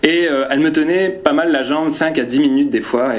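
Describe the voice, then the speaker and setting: A man talks at a moderate pace with ordinary pitch variation, with audible room echo and noticeable background noise. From northern France. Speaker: preacher. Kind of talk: personal anecdote; sermon. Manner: hesitant, many fillers.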